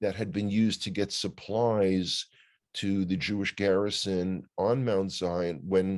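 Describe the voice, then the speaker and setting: In a New York accent, a man speaks at a fairly slow pace with fairly even intonation against a quiet background. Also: fairly low pitch for a man. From US Northeast, New York City (Bronx). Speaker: news commentator. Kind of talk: casual chat. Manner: halting.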